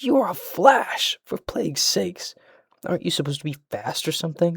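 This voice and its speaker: Using a put-on character voice, a man speaks shrill and high-pitched at a fairly quick pace. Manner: irritated, scolding.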